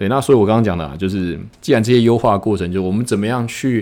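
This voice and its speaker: A man with a Taiwanese accent, very fast pace and ordinary pitch variation. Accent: Taiwanese Mandarin. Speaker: podcast host, e-commerce business owner. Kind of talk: casual monologue. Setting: office after work.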